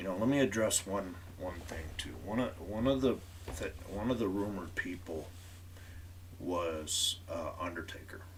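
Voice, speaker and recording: The man's voice is very deep and low, with a moderate pace. Audible room echo surrounds it. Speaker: wrestling podcast host. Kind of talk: live stream commentary. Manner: monotone.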